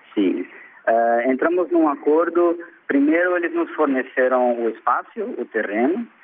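Speaking fairly slowly, a man uses lively intonation. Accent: Portuguese. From Brazil. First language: Portuguese (speaking Spanish). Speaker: university lecturer and NGO worker. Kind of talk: interview. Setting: phone call.

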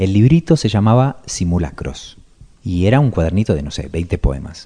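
A man's dark, mellow, somewhat breathy voice with lively intonation and a strong Argentine accent. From Argentina. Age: 30s. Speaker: writer. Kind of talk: radio interview.

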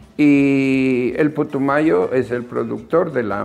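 Music plays in the background as a man speaks. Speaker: master craftsman. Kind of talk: interview testimony.

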